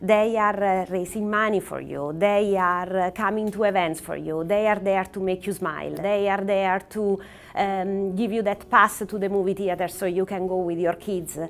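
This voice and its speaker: A woman speaks in a flat monotone at a medium pitch, with an Italian accent and hardly any pauses. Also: moderate pace. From Italy. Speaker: oncologist. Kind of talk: prepared talk to camera. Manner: frequent hesitations with uh and um.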